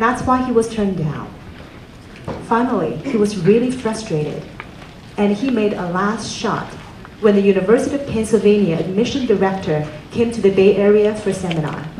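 Light background noise and audible room echo surround a woman speaking at a fairly quick pace. Her pitch varies in an ordinary way. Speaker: event host introducing speaker. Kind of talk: speech introduction. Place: hall. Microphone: handheld.

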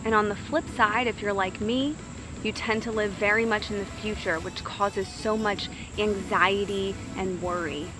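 A woman talks at a moderate pace with fairly even intonation, her voice dry with no echo over noticeable background noise. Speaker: wellness vlogger. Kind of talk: casual motivational vlog talk. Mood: calm, warm. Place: garden.

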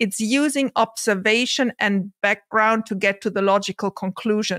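A woman with a non-native accent talks at a moderate pace in a fairly high pitch. The sound is dry with no echo, and the background is quiet. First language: not English. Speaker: investor and content creator. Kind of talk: casual discussion. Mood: engaged, upbeat. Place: home room.

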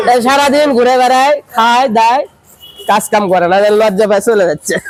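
Over noticeable background noise, a man speaks at an extremely high pitch, with ordinary pitch variation and very even loudness. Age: young. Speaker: vlogger. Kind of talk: street interview vlog.

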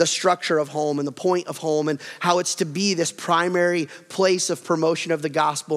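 A man speaks with a high pitch and flat, monotone intonation. His pace is fairly quick, and the background is quiet. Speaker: pastor. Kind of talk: sermon. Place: church. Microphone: headset.

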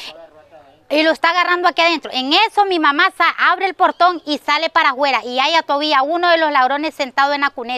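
In a dry recording with no echo, a woman speaks at a fairly quick pace in a high, raised, projected voice. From Nicaragua. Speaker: family member of victim. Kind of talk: news interview testimony. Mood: upset, indignant. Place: garden. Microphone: lapel.

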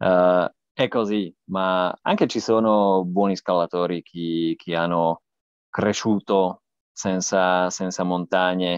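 Against a quiet background, a man with a non-native accent speaks very slowly in a very deep, low, monotone voice, the sound dry with no echo. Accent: non-native Italian. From Slovakia. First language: Slovak (speaking Italian). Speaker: cycling journalist and podcaster; cycling journalist, podcaster. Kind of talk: interview. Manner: halting, many fillers. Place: home room. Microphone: earbuds.

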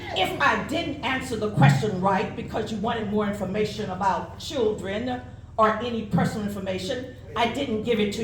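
A woman with a fairly high voice talks with hardly any pauses, amid noticeable background noise and audible room echo. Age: 70s. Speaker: parent giving public comment. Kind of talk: public comment speech. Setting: school board meeting podium.

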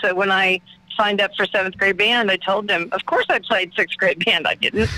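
A woman with a medium-pitched voice and an Oklahoma accent is heard in a dry, close sound with no echo, over noticeable background noise. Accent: Oklahoma Southern US. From Oklahoma, Muskogee. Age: 50s. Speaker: drummer. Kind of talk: casual radio interview.

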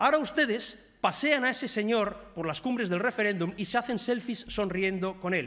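There is lively intonation as a man talks at a moderate pace over a quiet background. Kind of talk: parliamentary speech. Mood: indignant, reproachful. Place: hall. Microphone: podium.

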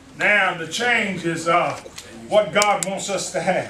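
A man's raised, projected, animated voice, high in pitch, over noticeable background noise. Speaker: church elder preaching. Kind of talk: fervent sermon, call-and-response preaching climax. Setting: church. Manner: rhythmic repetitive exhortation, 'you gotta' cadence; animated, calling out to congregation with interjections.

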